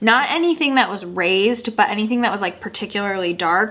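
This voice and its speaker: Speaking with a Michigan accent, a woman has a fairly high pitch. Her pace is fairly quick and her intonation lively. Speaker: beauty youtuber. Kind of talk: product review vlog. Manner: casual, chatty.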